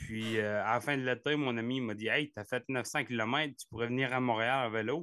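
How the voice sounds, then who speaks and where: Using a Gaspésie accent, a man talks in a flat monotone at a medium pitch. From Quebec, Gaspésie. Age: 30s. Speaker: ultra-distance cyclist. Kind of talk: interview. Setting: video call. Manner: halting.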